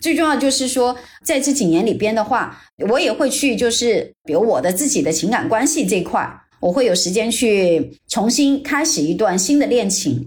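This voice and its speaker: Her fairly high voice moves at a moderate pace with very wide pitch swings and very even loudness. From China, Jiangxi. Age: 40s. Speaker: private investor, former luxury brand director. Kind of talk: interview.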